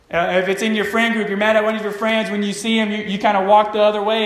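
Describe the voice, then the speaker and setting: Over noticeable background noise, a man talks at a high pitch in a monotone, flat intonation. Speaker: pastor. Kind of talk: sermon. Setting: church with congregation and microphone. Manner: halting, many fillers.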